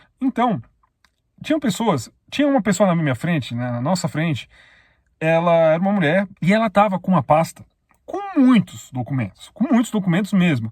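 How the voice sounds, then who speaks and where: A man talks at a moderate pace with a high pitch and very wide pitch swings. He leaves long, frequent pauses. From Brazil. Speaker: YouTuber, immigrant vlogger. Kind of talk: casual vlog monologue with advice. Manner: conversational, addresses viewers directly.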